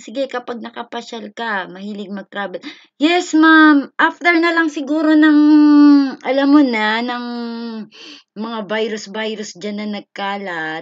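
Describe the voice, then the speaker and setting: Animated in tone, a woman speaks high and fairly slowly, her loudness swinging widely. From Philippines. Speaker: live streamer teaching Japanese. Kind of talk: live stream lesson and chat. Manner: animated, frequent laughter.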